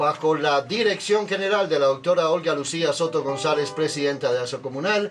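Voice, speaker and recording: A man speaks at a moderate pace with a fairly high pitch and ordinary pitch variation. Music plays in the background. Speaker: radio host. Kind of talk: radio interview. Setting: studio. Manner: formal.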